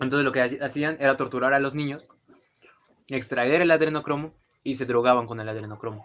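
In a Mexican accent, a man speaks at medium pitch with fairly even intonation and a fairly quick pace. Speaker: podcast co-host. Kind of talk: casual chat.

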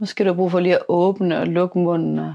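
Dark, mellow tone from a woman pitched fairly low. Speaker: podcast host guiding a meditation. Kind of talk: guided meditation. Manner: soft-spoken, warm and intimate.

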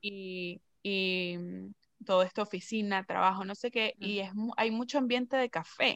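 An unremarkable speaking voice moves at a fairly slow pace, with a dry, close sound and no echo. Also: woman, medium pitch for a woman, fairly even intonation. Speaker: podcast host. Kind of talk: casual chat.

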